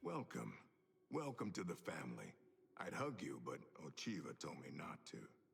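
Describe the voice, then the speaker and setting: In a put-on character voice, the speaker sounds raspy and moves at a moderate pace with long, frequent pauses. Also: man, very deep, low pitch for a man. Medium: video game. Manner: blunt, crude.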